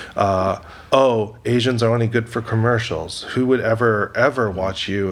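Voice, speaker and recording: Over noticeable background noise, a man with an American accent and a medium-pitched voice talks at a moderate pace with fairly even intonation. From Canada, Toronto area. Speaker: actor and filmmaker. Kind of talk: interview. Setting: studio.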